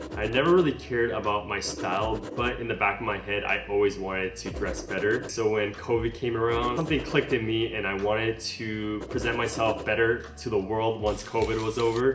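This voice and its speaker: With noticeable background noise and audible room echo, a man talks at a fairly quick pace with hardly any pauses and ordinary pitch variation. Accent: American. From US West Coast, Los Angeles (Palos Verdes). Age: 30s. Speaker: fashion content creator. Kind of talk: casual Q&A vlog.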